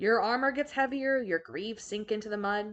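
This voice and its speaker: Using a put-on character voice, a woman rumbles at a fairly high pitch and a fairly quick pace. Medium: read story. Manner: grumbling.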